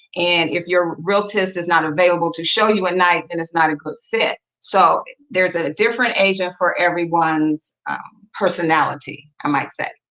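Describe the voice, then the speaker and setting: A woman's plain, everyday voice, fairly low, at a moderate pace with fairly even intonation. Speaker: real estate broker. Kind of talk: presentation.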